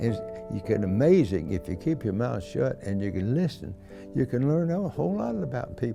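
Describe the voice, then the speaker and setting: A man's fairly low voice at a moderate pace with very wide pitch swings, music in the background. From Kentucky, USA. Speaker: WWII veteran. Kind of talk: interview answer, recalling memories.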